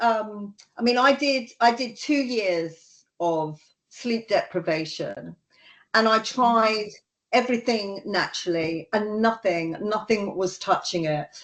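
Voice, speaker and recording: A woman with an ordinary speaking voice, fairly high pitch and ordinary pitch variation, at a fairly slow pace over a quiet background. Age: 60s. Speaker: strength coach. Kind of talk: interview.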